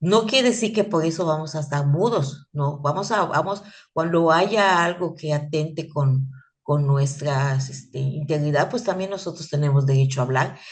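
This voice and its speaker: A woman's very deep, low voice, somewhat breathy and animated in tone, with ordinary pitch variation and audible room echo. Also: moderate pace. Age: 60s. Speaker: teacher. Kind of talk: lecture. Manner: halting.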